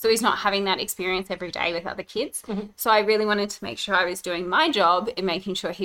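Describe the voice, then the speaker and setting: Speaking at a very fast pace, a woman with an Australian accent talks at a medium pitch. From Brisbane, Australia. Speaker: podcast host and mum. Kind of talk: casual chat.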